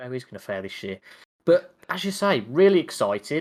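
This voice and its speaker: Vocal fry and very wide pitch swings from a man at a moderate pace, on a very clean recording with a silent background. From West Midlands, England (Wolverhampton). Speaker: podcast co-host. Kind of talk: casual chat.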